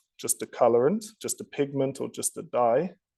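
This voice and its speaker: A man with a British accent speaks at a fairly high pitch with lively intonation and a dark, mellow tone. The background is quiet. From United Kingdom. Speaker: technology company executive. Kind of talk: technical presentation. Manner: repetitive stammering on words.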